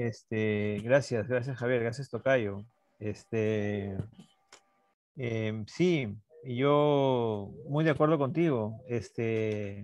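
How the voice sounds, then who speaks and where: A man talks at a very slow pace with a medium pitch. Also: ordinary pitch variation. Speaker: NGO director, mining activist. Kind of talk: panel discussion. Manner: halting, many fillers.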